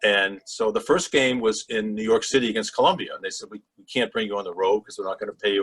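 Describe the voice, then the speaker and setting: A man with a Boston accent at a fairly quick pace. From Massachusetts, Boston area (Swampscott). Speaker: sports broadcaster. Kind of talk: interview storytelling.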